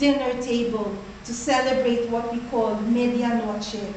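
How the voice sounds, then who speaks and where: With light background noise and audible room echo, a woman speaks in a high, monotone voice with flat intonation at a fairly slow pace. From Philippines. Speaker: toastmaster club speaker. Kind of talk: prepared speech. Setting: stage with audience. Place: meeting room. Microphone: camera far.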